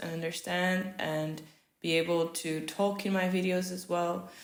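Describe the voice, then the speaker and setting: Audible room echo surrounds the voice. A woman delivers her words at a fairly slow pace. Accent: Portuguese. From Portugal. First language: Portuguese. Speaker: vlogger. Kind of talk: casual vlog talk while crafting. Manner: hesitant, with fillers.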